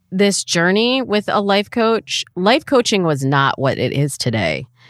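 A woman's medium pitch in an American accent, with very wide pitch swings at a very slow pace, in a dry, close sound with no echo and a very clean recording with a silent background. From US Midwest, Michigan. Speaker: dating coach and podcaster. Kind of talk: casual interview chat.

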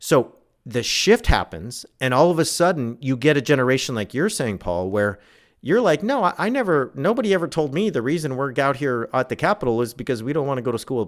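A man with a Californian accent at a fairly quick pace, his pitch swinging very widely, in a very clean recording with a silent background. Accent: Californian American English. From Southern California. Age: 40s. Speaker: author and religion scholar. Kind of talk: interview.

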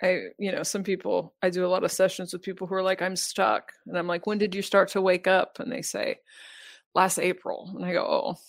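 A woman with a normal speaking voice talks at a fairly quick pace in a medium pitch with fairly even intonation. The recording is very clean with a silent background. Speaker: spiritual podcaster and guide. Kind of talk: casual interview conversation.

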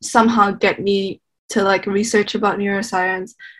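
A woman's somewhat breathy, medium-pitched voice at a moderate pace with fairly even intonation. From Indonesia. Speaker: university student. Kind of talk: casual chat.

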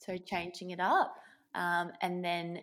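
Speaking with an Australian accent, a woman uses a fairly low pitch on a very clean recording with a silent background. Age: 20s. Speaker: paramedic. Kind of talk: interview.

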